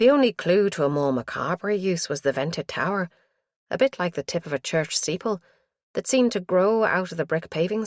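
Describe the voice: Lively intonation in plain reading aloud, with a quiet background.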